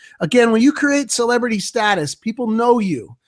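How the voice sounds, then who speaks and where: Ordinary pitch variation in a man's speech. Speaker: real estate agent and marketing presenter. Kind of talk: webinar presentation. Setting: online video hangout. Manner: fast.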